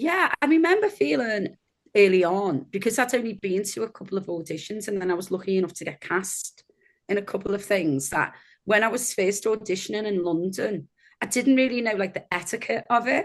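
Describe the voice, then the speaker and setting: A woman with a Liverpool accent, lively intonation and a fairly quick pace against a quiet background. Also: medium pitch for a woman. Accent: Liverpool accent, kept. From northern England, Liverpool (Kirkby). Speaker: actor. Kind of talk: interview conversation.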